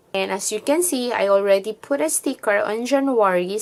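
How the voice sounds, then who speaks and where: Her intonation rises and falls in a lively way. The woman has a non-native accent. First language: not English. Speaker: planner vlogger. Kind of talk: tutorial. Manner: casual.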